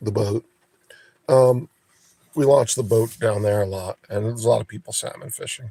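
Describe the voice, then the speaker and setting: A somewhat breathy man at medium pitch talks at a moderate pace with long, frequent pauses, fairly even intonation and big swings in loudness, in a dry, close sound with no echo. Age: 60s. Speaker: live streamer. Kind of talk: casual chat.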